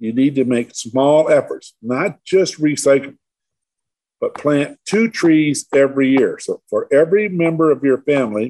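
In a Midwestern American accent, a man speaks at a fairly slow pace with a fairly high pitch and ordinary pitch variation. His tone is dark and mellow, recorded dry and close with no echo. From Michigan, Detroit suburbs. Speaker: tree grower and near-death experiencer. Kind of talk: interview.

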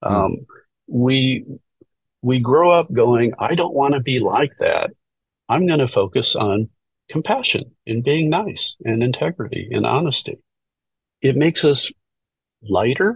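With a dry, close sound and no echo, a man speaks at a fairly slow pace, somewhat breathy, with lively intonation and long, frequent pauses. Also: fairly high pitch for a man. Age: 60s. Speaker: retired near-death experiencer, video channel creator. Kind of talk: casual chat. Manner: halting.

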